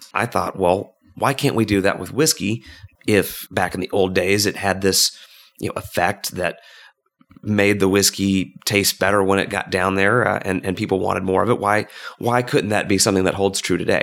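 The man's intonation stays fairly even as he talks at a moderate pace. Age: 30s. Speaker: whiskey company founder. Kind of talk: casual interview.

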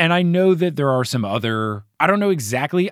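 A man with an American accent speaks at a moderate pace in a very clean recording with a silent background and a dry, close sound with no echo. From US Northeast, New Jersey. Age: 20s. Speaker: podcast host. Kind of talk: casual book discussion podcast.

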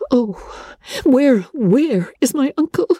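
A woman does a put-on character voice, high in pitch with a dark, mellow tone, a slightly husky edge and lively intonation, speaking slowly in a dry, close sound with no echo.

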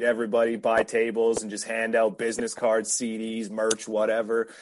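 At a moderate pace, a man with a Canadian accent and medium pitch speaks in a plain, everyday voice. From western Canada. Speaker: rapper. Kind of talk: casual chat.

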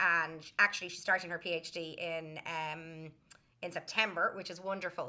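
Here a woman speaks in a Dublin accent with a bright, sharp tone. Her pace is moderate. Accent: Dublin Irish. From Ireland, Dublin. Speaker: early childhood educator and teacher. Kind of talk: casual interview. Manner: talkative.

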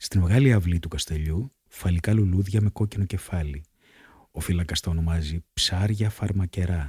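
Somewhat breathy and calm in tone, a man with a very deep, low pitch and a dark, mellow tone speaks on a very clean recording with a silent background and a dry, close sound with no echo. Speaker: podcast host reading diary. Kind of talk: reading aloud from a travel diary. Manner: measured, calm, narrative reading.

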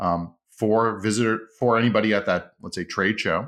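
A man with a Montreal accent, medium pitch, ordinary pitch variation and a moderate pace, on a very clean recording with a silent background. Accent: English Canadian (Montreal). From Montreal, Quebec (English-speaking). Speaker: comedian and sales trainer. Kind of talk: casual interview.

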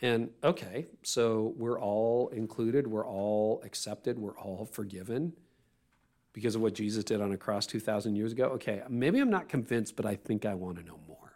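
On a very clean recording with a silent background, a man with an unremarkable speaking voice talks at a moderate pace at medium pitch, with ordinary pitch variation and big swings in loudness. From Canada. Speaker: pastor and podcaster. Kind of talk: interview conversation. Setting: studio.

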